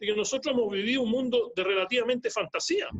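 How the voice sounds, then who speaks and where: A man's raised, projected voice, bright and sharp in tone, with lively intonation. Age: 70s. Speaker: economist and speaker. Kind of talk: lecture. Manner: repetitive, halting.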